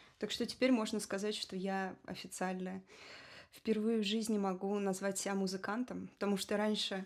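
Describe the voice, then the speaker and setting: Very clean recording, silent background. A woman at medium pitch speaks at a moderate pace in monotone, flat intonation. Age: 30s. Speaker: electronic musician and singer. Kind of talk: podcast interview.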